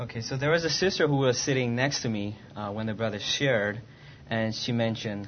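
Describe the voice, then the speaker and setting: Here a man with an ordinary speaking voice talks at a fairly quick pace and medium pitch, with ordinary pitch variation. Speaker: interpreter. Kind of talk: consecutive interpretation. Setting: church.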